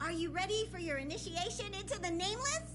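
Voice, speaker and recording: Someone rattles along at a very fast pace in a put-on character voice. Loud background noise fills the recording. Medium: game stream. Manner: officious, earnest.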